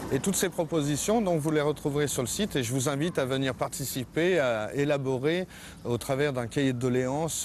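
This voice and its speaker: A man talks at a fairly slow pace in a medium pitch. His pitch variation is ordinary. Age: 40s. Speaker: parliamentary candidate. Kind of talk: campaign statement. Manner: halting, many hesitations.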